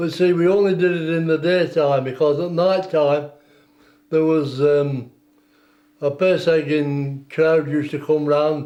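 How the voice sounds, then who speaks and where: This man talks fairly slowly in a fairly high pitch with a Lancashire accent. His tone is dark and mellow, and his intonation is flat and monotone. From northern England, West Lancashire. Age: 80s+. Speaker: war veteran. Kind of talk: oral history interview.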